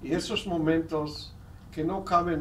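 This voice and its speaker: A man with an Israeli accent at a very slow pace, with audible room echo and noticeable background noise. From South America. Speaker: historian and educator. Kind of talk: lecture. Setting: seminar with audience.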